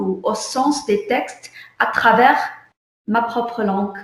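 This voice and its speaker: A woman with an Arabic accent, fairly high in pitch, at a very slow pace with ordinary pitch variation and audible room echo. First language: Arabic (speaking French). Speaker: visual artist. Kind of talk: online artist interview. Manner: halting, many repetitions.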